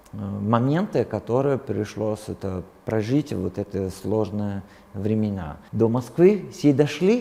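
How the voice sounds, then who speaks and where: A man talks at a very slow pace with lively intonation. His pitch is fairly low. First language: Italian (speaking Russian). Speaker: translator and Italian teacher. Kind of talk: interview. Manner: halting, with many fillers.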